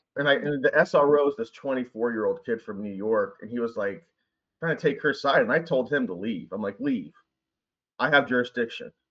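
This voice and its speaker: A man with an American accent speaks at a fairly quick pace, his pitch fairly high. His intonation is lively and his tone animated. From US South. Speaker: high school teacher. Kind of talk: casual chat.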